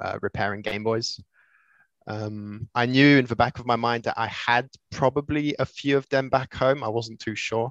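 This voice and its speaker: Speaking with an English accent, a man keeps a moderate pace and fairly even intonation. The sound is dry and close with no echo, and the background is quiet. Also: medium pitch for a man. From Switzerland. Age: 20s. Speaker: retro console modder. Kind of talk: casual chat.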